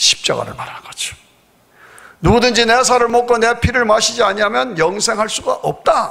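A man speaks in a raised, projected voice at an extremely high pitch. His intonation is fairly even, his pace moderate, and the background quiet. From South Korea. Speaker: pastor. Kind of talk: sermon. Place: church. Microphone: podium.

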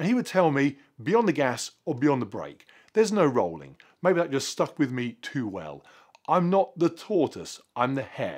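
Using vocal fry and a fairly high pitch, a man speaks at a moderate pace with very wide pitch swings over a quiet background. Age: 40s. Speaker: fitness vlogger. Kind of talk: vlog monologue to camera. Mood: earnest, reflective. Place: garage.

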